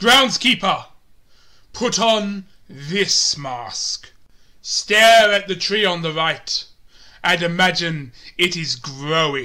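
In a put-on character voice pitched high, a man speaks very slowly with long, frequent pauses, in a very clean recording with a silent background. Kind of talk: audition reading.

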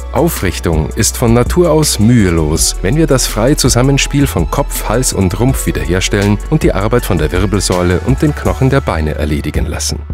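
Music plays behind a man speaking at a moderate pace. His pitch swings very widely. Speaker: radio announcer; Alexander Technique teacher. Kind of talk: promotional narration.

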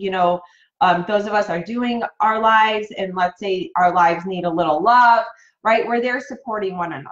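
The speaker is a woman with a fairly high pitch. Her voice rises and falls with ordinary pitch variation. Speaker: network marketing coach. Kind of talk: live-stream training. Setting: home office. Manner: animated.

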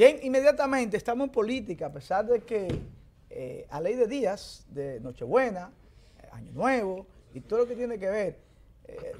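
A man's high voice at a fairly slow pace, with very wide pitch swings, big swings in loudness, long, frequent pauses and light background noise. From Dominican Republic. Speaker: TV show host. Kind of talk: interview. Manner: halting. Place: studio. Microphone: studio mic.

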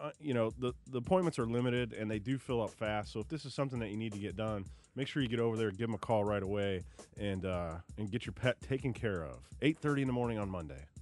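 A man at a very fast pace with lively intonation, music in the background and dry sound with no echo. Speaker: base marketing staffer, guest. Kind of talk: casual radio chat. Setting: radio studio. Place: studio.

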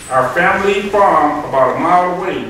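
A man speaks amid strong room echo and light background noise. His pitch moves in an ordinary way. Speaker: visiting reader. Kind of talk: reading a story aloud to children. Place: classroom. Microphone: camera far.

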